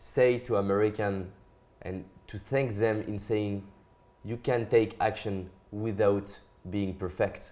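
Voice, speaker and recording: A man with a French accent speaks at a very slow pace. His fairly low voice has a monotone, flat intonation. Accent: French accent, non-native English. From France. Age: young. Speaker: motivational speaker. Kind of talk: interview. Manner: halting.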